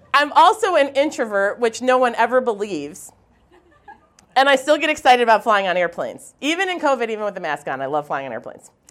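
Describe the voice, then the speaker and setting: Speaking with an American accent, a woman uses a high pitch and very wide pitch swings. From Wisconsin. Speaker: university administrator. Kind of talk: personal storytelling talk.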